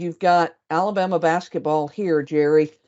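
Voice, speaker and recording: Here is a woman with a Southern US accent. Her voice sits fairly low. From US South. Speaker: senior editor. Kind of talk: webinar presentation and Q&A.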